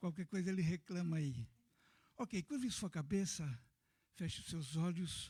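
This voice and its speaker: A soft-spoken man talks at a fairly slow pace with long, frequent pauses, his voice high-pitched yet dark and mellow. His intonation is lively, on a very clean recording with a silent background. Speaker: pastor, missionary. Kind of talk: sermon. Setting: church.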